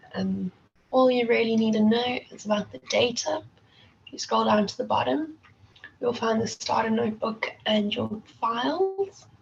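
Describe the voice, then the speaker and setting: A woman speaks at a moderate pace. Noticeable background noise runs beneath her voice. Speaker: competition organizer presenting to students. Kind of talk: online workshop instructions. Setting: video call.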